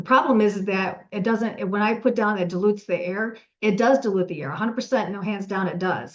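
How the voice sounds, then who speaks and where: A woman speaks at medium pitch and a fairly quick pace. Her intonation is fairly even, with hardly any pauses. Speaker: UV air disinfection company owner, webinar presenter. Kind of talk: webinar presentation. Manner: fast.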